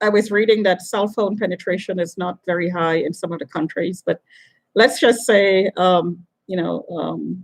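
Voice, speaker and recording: Speaking at a moderate pace, a woman with a medium-pitched voice has vocal fry. Her intonation stays fairly even. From Trinidad. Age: 60s. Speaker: video blogger. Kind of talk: monologue. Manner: halting.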